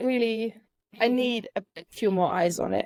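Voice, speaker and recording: Fairly high in pitch, a woman speaks at a fairly slow pace on a very clean recording with a silent background and a dry, close sound without echo. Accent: non-native. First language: not English. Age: 30s. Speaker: author. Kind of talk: podcast interview. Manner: halting.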